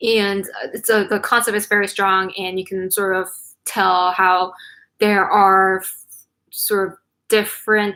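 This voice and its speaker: Speaking fairly slowly, a woman uses a bright, sharp tone at a medium pitch with monotone, flat intonation. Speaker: K-pop chart show host. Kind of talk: live stream chart countdown. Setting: live stream. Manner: casual, filler-heavy.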